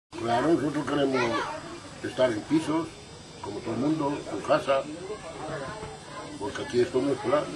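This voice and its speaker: Through noticeable background noise, a man with a fairly high pitch talks with fairly even intonation and long, frequent pauses. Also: moderate pace. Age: 70s. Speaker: settlement resident. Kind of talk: street interview. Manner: halting.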